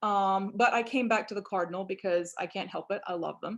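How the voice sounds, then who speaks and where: A woman with a Southern US accent talks at a fairly quick pace against a quiet background. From Louisiana, US Deep South. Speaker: biology professor and birder. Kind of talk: online presentation.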